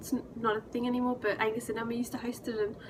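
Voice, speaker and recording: This woman's voice sits fairly high, and her intonation is monotone and flat. Noticeable background noise runs under her speech. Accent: Australian. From Australia. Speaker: vlogger. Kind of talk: casual vlog recap. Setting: hotel room in New York. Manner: casual with many fillers.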